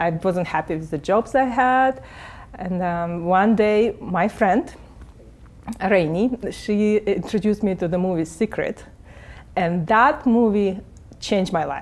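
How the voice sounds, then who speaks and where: Speaking at a fairly slow pace with long, frequent pauses, a woman of medium pitch has a Russian accent. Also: ordinary pitch variation. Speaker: real estate agent and coach. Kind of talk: interview. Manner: halting.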